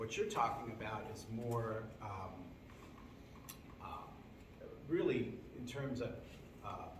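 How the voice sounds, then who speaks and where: Amid noticeable background noise and audible room echo, a man speaks very slowly at medium pitch with fairly even intonation and long, frequent pauses. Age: 60s. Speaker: examiner. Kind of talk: oral examination questioning. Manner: halting.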